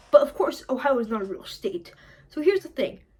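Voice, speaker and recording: A woman's animated voice with very wide pitch swings, amid noticeable background noise. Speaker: comedy video creator. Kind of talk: improvised comedic monologue. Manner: stuttering, halting.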